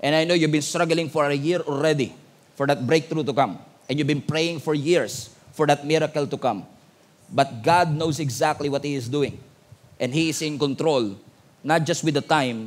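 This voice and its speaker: The pace here is moderate. Pitch moves up and down in an ordinary way. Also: man. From Philippines. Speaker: pastor. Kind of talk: sermon. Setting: church with congregation. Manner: animated, call-and-response; emphatic, rousing. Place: church. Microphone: headset.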